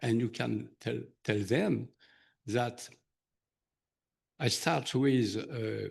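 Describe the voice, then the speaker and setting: A man speaks at a medium pitch with vocal fry in his voice. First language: not English. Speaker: surgeon presenter. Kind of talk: conference Q&A. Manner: halting.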